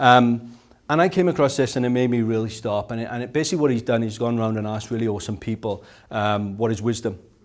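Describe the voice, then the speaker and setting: Speaking fairly quickly with a Welsh accent, a man talks at medium pitch. His pitch varies in an ordinary way. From South Wales. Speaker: speaker at a business conference. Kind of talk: conference talk. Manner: rolls his R's when excited.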